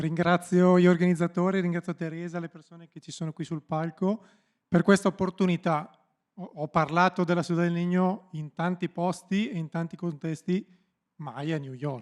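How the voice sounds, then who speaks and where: A man talks at a high pitch, with big swings in loudness. The recording is very clean and silent in the background, with a dry, close sound and no echo. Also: fairly even intonation, fairly quick pace. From Italy, Bergamo. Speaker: foster home director. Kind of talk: panel talk. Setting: stage with audience.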